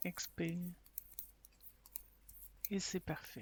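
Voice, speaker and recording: On a very clean recording with a silent background, a woman speaks very slowly at a fairly low pitch, somewhat breathy. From Quebec. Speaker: meditation guide. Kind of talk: guided sleep meditation. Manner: slow, counted breathing cues.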